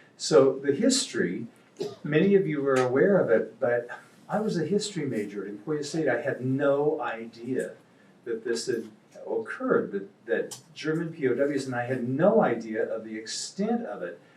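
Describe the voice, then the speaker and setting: A fairly high-pitched man with a Midwestern US accent, very wide pitch swings and a moderate pace, over noticeable background noise. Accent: US Midwest. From Kansas. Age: 70s. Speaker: novelist. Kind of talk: talk to a live audience. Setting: stage with audience.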